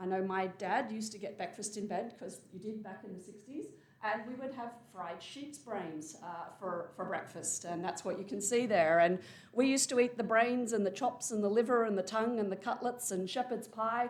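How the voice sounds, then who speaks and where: Speaking at a moderate pace with an Australian accent, a woman uses a fairly high pitch and ordinary pitch variation, her loudness swinging widely amid audible room echo. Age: 50s. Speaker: professor. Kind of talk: lecture.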